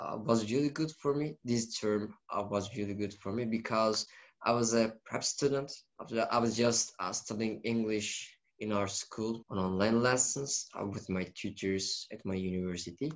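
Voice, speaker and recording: Speech in a Turkish accent at a moderate pace with ordinary pitch variation. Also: man, medium pitch for a man. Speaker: university student. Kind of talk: casual chat. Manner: halting, many fillers.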